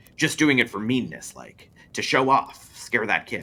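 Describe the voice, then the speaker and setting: A man uses a put-on character voice at a medium pitch. His loudness swings widely at a moderate pace. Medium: read story. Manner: folksy, blunt.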